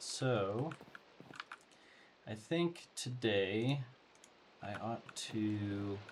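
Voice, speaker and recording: Quiet and at a very slow pace, a man speaks in a fairly low pitch with ordinary pitch variation and long, frequent pauses. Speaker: gaming let's play host. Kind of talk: casual gameplay commentary.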